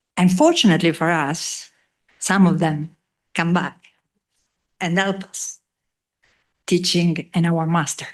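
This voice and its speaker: In an Italian accent, a woman speaks at a moderate pace with a fairly low pitch and a monotone, flat intonation. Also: long, frequent pauses. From Italy. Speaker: economics professor. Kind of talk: ceremony speech. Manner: halting.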